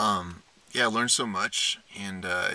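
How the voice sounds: A man speaks with a bright, sharp tone and fairly even intonation.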